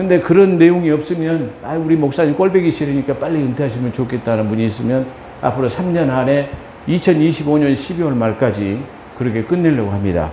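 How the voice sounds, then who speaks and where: Over noticeable background noise and audible room echo, a man speaks at a fairly quick pace with a fairly high pitch and lively intonation. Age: 60s. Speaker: pastor. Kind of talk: sermon.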